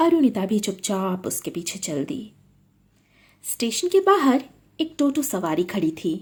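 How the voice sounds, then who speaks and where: A woman speaks at a medium pitch with a dark, mellow tone. Her pitch swings very widely. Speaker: storyteller and writer. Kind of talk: horror story narration.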